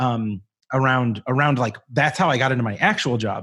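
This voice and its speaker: A man with a plain, everyday voice at medium pitch speaks at a moderate pace with ordinary pitch variation, on a very clean recording with a silent background. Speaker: community strategist and voiceover artist. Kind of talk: casual interview chat.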